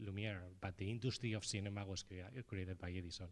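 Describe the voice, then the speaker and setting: Fairly low in pitch, a man speaks with a Spanish accent. His pace is very fast and his intonation fairly even. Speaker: filmmaker at festival panel. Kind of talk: panel discussion.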